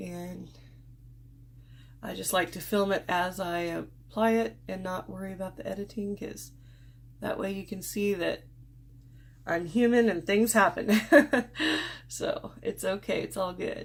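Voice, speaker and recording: A woman's voice with big swings in loudness and long, frequent pauses. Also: fairly slow pace. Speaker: beauty vlogger. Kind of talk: makeup tutorial. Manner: casual, unscripted.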